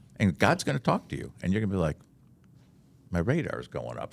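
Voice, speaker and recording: Speaking at a fairly quick pace, a man with a very deep, low voice shows vocal fry and very wide pitch swings. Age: 60s. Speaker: chaplain and pastor. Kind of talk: casual chat. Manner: animated storytelling.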